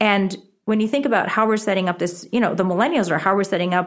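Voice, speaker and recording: A woman's medium-pitched voice on a very clean recording with a silent background. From Connecticut and New York City. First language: Japanese. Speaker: author, education advocate. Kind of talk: interview.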